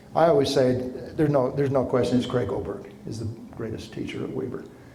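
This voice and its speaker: With an American accent, a man at a medium pitch speaks amid noticeable background noise and audible room echo. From Utah, Ogden area. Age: 60s. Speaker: professor. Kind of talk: lecture. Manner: animated.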